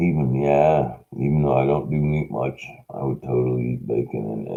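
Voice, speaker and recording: A man speaks very slowly in a very deep, low voice. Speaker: homeless livestreamer. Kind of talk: casual monologue livestream. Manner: loud; rambling, halting.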